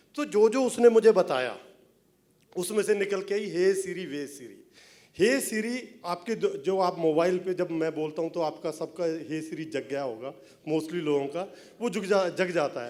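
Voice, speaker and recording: A high-pitched man with a Punjabi accent talks with lively intonation and big swings in loudness. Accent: Punjabi accent in Hindi. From Punjab, India. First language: Punjabi (speaking Hindi). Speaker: film writer and director. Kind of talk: speech at film event.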